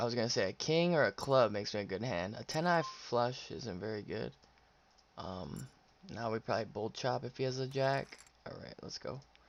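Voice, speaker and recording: A man with a medium pitch talks at a fairly quick pace with lively intonation. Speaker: poker streamer. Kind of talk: live-stream play-by-play commentary. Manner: halting, pauses while thinking; casual, chatty.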